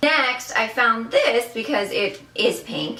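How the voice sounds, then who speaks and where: A woman's voice carries audible room echo. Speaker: thrift haul vlogger. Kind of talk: casual haul video. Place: home room.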